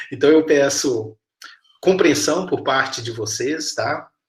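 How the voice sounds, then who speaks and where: Speaking at a fairly slow pace, a man has a strong Minas Gerais accent. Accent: strong mineiro Brazilian Portuguese. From Minas Gerais, Brazil (Patos de Minas). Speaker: university professor. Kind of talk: lecture.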